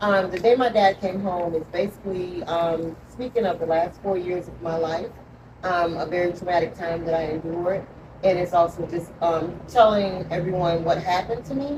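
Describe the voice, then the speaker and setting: A woman with a Georgia accent speaks in a fairly low voice at a moderate pace with fairly even intonation, against noticeable background noise. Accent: Southern US, Georgia. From US South, Georgia. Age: 50s. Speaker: author. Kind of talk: interview testimony. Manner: halting, many 'um' fillers.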